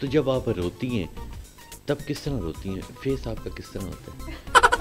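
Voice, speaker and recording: Music plays in the background as a man talks in a playful tone. His loudness swings widely. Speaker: TV anchor. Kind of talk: TV talk show interview questions. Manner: playful, teasing.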